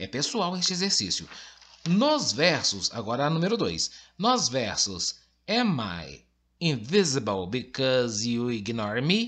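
The background is quiet while a man speaks at a very slow pace. His pitch swings very widely. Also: medium pitch for a man. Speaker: school English teacher. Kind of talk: lecture. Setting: recorded online lesson with on-screen text.

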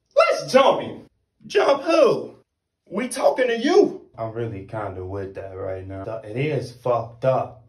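The pace is fairly slow, with big swings in loudness. The background is quiet, but room echo is audible. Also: man. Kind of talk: acted comedy skit dialogue. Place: home room. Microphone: phone near.

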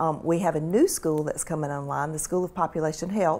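Speaking very fast, a woman with a Mississippi accent has a very deep, low voice. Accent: Southern US (Mississippi). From US South, rural Mississippi (Carroll County). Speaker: medical school administrator and physician. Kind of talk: interview. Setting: studio. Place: office. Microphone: lapel.

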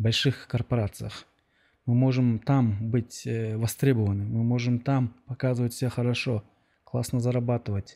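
A man speaks in a dark, mellow tone with monotone, flat intonation and very even loudness. The background is quiet. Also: medium pitch for a man, moderate pace. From Kyrgyzstan. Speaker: podcast host. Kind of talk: interview. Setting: outdoors. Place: studio. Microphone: studio mic.

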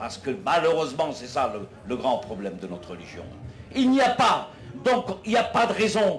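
Over light background noise, a man speaks at a moderate pace in a high pitch with very wide pitch swings. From Algeria. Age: 60s. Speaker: political activist; speaker. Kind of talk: public debate speech. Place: tent.

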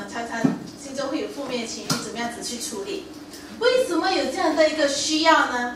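There is audible room echo and noticeable background noise as a woman speaks at a moderate pace. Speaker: preacher. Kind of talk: sermon. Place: church.

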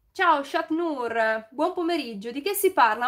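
Lively intonation over a quiet background. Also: woman. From Milan, northern Italy. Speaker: YouTuber, DIY and home tips creator; YouTuber, home tips creator. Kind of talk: casual live stream chat with viewers. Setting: live stream. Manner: chatty, improvised. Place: home room.

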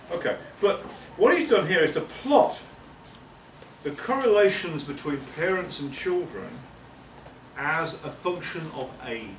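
A man with an English accent speaks at a fairly slow pace in a high voice with very wide pitch swings and long, frequent pauses, against audible room echo and light background noise. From England. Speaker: professor. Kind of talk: lecture. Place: meeting room. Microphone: camera far.

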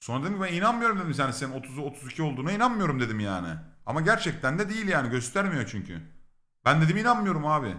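Amid audible room echo, a man with a fairly high pitch and a bright, sharp tone talks at a very fast pace with vocal fry and very wide pitch swings. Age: 30s. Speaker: streamer. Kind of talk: casual storytelling. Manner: animated, laughing.

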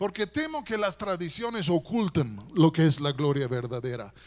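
A man's voice moves through very wide pitch swings. The background is quiet. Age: 60s. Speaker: guest preacher. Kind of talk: sermon. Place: church. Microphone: handheld.

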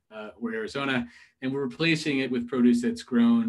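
Fairly quick speech from a man, the background quiet. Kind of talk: business presentation. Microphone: video call.

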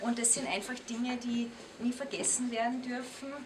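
A woman talks at a moderate pace with fairly high pitch. Her intonation stays fairly even over clear background noise.

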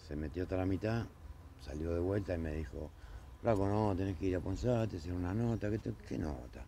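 Lively intonation and a dark, mellow tone, with light background noise and a dry sound with no echo. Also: man, very deep, low pitch for a man, fairly quick pace. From Argentina. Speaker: neighbour, car body repairer; witness. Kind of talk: street interview testimony. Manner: halting, hesitant. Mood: upset, complaining. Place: street.

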